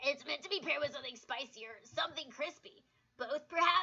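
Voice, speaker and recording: Using a put-on character voice, a woman talks at a fairly quick pace in a raspy, high pitch. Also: ordinary pitch variation. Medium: game stream. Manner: tentative, earnest.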